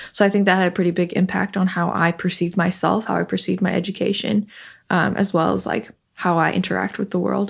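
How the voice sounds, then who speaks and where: On a very clean recording with a silent background, a woman speaks at a very fast pace, her fairly low pitch carrying vocal fry and fairly even intonation. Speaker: recent college graduate, software engineer. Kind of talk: interview, personal conversation.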